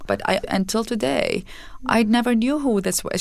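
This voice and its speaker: This is a woman speaking with an Arabic accent. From Iraq. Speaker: nonprofit founder. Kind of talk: interview.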